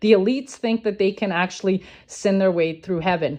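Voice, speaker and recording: A woman at medium pitch with ordinary pitch variation against a quiet background. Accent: non-native. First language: not English (English is fifth language). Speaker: social media conspiracy commentator. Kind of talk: explainer video monologue. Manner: hesitant, many fillers.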